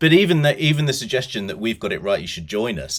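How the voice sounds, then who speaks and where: Vocal fry alongside very wide pitch swings. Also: man. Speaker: podcast host. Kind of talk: casual conversation.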